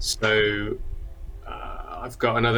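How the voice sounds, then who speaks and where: A man's voice over noticeable background noise. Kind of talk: casual chat.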